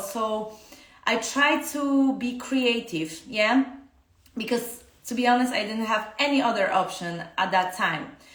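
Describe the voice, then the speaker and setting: A woman with a Polish accent talks fairly slowly at a fairly high pitch, with audible room echo and noticeable background noise. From Poland. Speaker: dance teacher. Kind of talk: casual live-stream talk. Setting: Instagram live stream. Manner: halting, many fillers.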